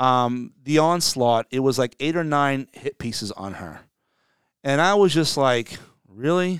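A man with a New Jersey accent speaks with lively intonation in a very clean recording, the sound dry and close with no echo against a silent background. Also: fairly high pitch for a man. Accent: New Jersey American. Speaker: podcast co-host discussing local politics. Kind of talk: casual political chat. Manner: fast talker.

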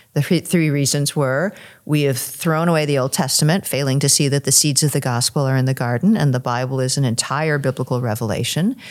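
Very deep and low in pitch, a woman's voice holds very even loudness. Her pitch variation is ordinary. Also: fairly quick pace. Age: 60s. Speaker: author and former English professor. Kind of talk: interview conversation. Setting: recorded at a conference.

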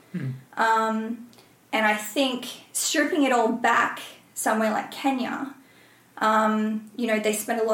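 Amid noticeable background noise and audible room echo, a woman with an Australian accent and a fairly high pitch speaks at a moderate pace. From Australia, Byron Bay. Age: 30s. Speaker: ultrarunner and reality TV contestant. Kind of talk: podcast interview.

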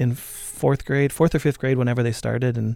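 A man's medium-pitched voice with an American accent, dark and mellow in tone, at a fairly quick pace with fairly even intonation, on a very clean recording with a silent background. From southern Minnesota, US. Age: 40s. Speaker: concert venue director and former musician. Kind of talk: casual interview. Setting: radio studio.

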